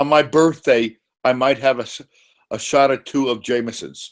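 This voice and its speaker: At a moderate pace, a man talks with a fairly high pitch and fairly even intonation. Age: 60s. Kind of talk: casual chat.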